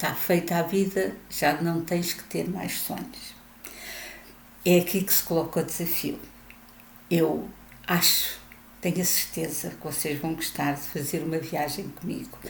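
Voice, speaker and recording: A woman with a European Portuguese accent speaks at a fairly slow pace, with long, frequent pauses and big swings in loudness. Her voice is somewhat breathy, and there is audible room echo. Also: fairly low pitch for a woman, ordinary pitch variation. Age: 70s. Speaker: retiree vlogger. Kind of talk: video monologue.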